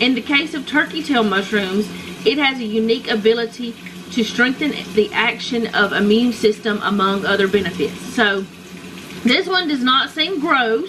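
Moderate pace from a woman, noticeable background noise behind her. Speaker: home vlogger. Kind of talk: casual vlog chat, reading aloud. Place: kitchen.

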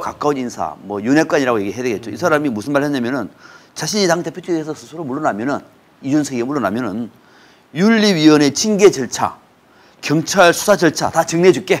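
Here a man talks at a fairly quick pace with lively intonation and a fairly high pitch. His loudness swings widely. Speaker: political commentator. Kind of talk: political talk show discussion. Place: studio. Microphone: lapel.

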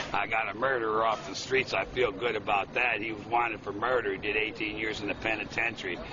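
Against noticeable background noise, a man with an American accent talks fairly quickly in a fairly low, monotone, flat voice, the sound dry with no echo. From Chicago, Illinois. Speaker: Vietnam veteran. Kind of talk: interview answer. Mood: agitated, indignant storytelling. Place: street. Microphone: phone near.

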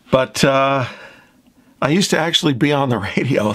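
A man keeps a moderate pace while noticeable background noise runs beneath him. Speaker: instrument restorer. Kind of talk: tutorial.

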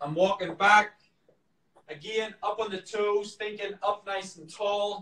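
In a raised, projected voice, a man speaks at a high pitch and a fairly slow pace, his tone bright and sharp, his intonation monotone and flat, with audible room echo. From Northern Ireland. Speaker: professional marathon runner. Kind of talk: workout tutorial; live stream Q&A. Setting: live video stream from home.

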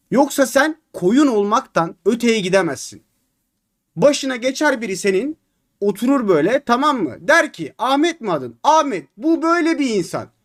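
In an animated tone, a man speaks at a fairly slow pace, his pitch making very wide swings. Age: 20s. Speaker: gaming streamer. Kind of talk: live stream chat.

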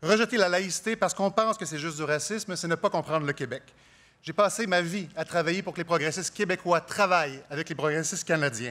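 A man with a high-pitched voice and a bright, sharp tone talks at a very fast pace. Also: ordinary pitch variation. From Quebec. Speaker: politician, leadership candidate; politician, candidate. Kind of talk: political debate. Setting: stage with audience. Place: stage. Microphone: podium.

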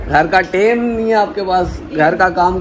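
A man speaks in a high voice over light background noise. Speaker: family vlogger. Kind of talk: casual vlog chat. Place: home room. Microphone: phone near.

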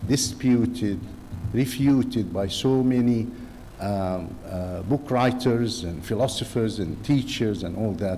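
Slow and dark, mellow in tone, a man speaks in a fairly low pitch with ordinary pitch variation.

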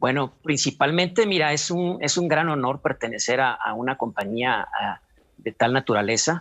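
A man speaks with fairly high pitch and lively intonation at a moderate pace. The background is quiet. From Mexico, Culiacán, Sinaloa; Sinaloa, Mexico. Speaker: clown and actor; actor. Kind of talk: interview. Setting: video call. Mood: warm, reflective. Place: home room. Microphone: video call.

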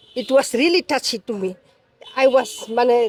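Her voice is recorded dry and close with no echo. The speaker is a woman. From South Africa. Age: 40s. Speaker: foreign wife of interviewee. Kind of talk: interview. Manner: halting.

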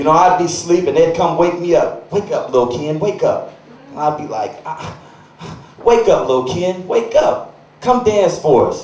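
A man's moderate-paced speech comes with audible room echo. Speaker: stand-up comedian. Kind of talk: stand-up comedy routine. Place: stage.

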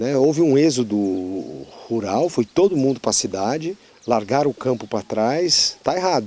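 A man speaks at medium pitch and a moderate pace, with lively intonation. His tone is dark and mellow, and the sound is dry with no echo. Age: 60. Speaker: politician. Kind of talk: interview. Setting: outdoors on a farm. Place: farm. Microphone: handheld.

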